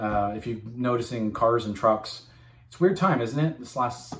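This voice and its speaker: Speaking at a fairly quick pace, a man with a medium-pitched, somewhat breathy voice is heard with audible room echo. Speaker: machine tool sales rep. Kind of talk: informal video message to customers. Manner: fast; casual, filler-heavy.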